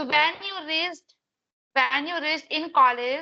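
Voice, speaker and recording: At a moderate pace, a woman uses a raised, projected voice with a high pitch and fairly even intonation. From India, Madhya Pradesh. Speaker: English learner, conversation partner. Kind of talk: English practice conversation.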